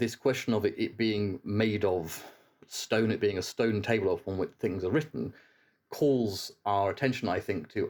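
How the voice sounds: The reading voice sounds natural. Pitch rises and falls by a normal amount.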